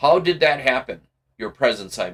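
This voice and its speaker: A man does a put-on character voice at a moderate pace. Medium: read story. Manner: formal, dry.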